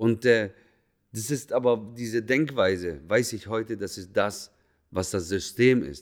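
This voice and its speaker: A man at a medium pitch, talking at a fairly slow pace with ordinary pitch variation, in a very clean recording with a silent background. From Swabia, Germany. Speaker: hairdresser and podcaster. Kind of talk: personal storytelling monologue.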